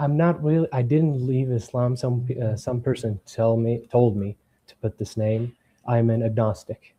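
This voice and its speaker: Speaking with an Arabic accent at a moderate pace, a man sounds somewhat breathy, with a medium pitch, fairly even intonation and big swings in loudness. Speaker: caller challenging Islam. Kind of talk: debate. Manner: halting, hesitant.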